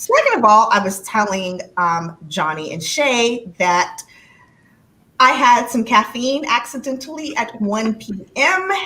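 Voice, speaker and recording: With an American accent, a woman speaks at a very slow pace in a fairly high pitch. Her intonation is lively, and there is noticeable background noise. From California. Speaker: live stream host. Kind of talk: casual chat. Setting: live stream.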